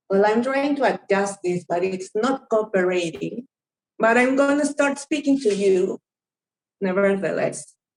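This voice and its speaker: A woman with a strong Spanish accent speaks at a fairly slow pace, her fairly high voice carrying lively intonation. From Peru. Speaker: anthropologist. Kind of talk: academic seminar talk. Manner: partly reading from notes.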